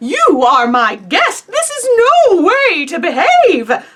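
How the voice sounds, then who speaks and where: A woman's put-on character voice, extremely high in pitch, with very wide pitch swings and a fairly slow pace. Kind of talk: bedtime story. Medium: read story. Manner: earnest, easily flustered.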